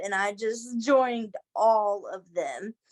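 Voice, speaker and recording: A woman with an American accent speaks in a dry, close sound with no echo. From US South, Kentucky. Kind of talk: casual chat.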